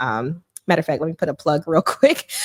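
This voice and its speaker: A woman speaks softly with an American accent. The sound is dry and close, with no echo. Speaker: financial counselor. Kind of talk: interview. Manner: soft-spoken.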